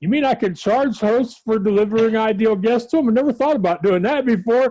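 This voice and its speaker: The man's high voice carries a dark, mellow tone and ordinary pitch variation, moving at a fairly quick pace with very even loudness. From grew up in a carnival-owning family. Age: 40s. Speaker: blogger and publicist. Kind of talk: interview answer.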